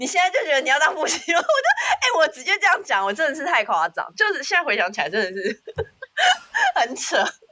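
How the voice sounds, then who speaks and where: Raised and projected, a woman's high voice races at a very fast pace with very wide pitch swings and an animated tone. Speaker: podcast co-host. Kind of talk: casual chat. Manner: animated, laughing often.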